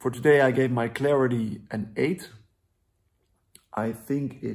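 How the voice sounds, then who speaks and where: Speaking with a Dutch accent, a man moves at a fairly slow pace with fairly even intonation. He leaves long, frequent pauses. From Netherlands. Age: 20s. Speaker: vlogger. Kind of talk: video diary. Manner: halting.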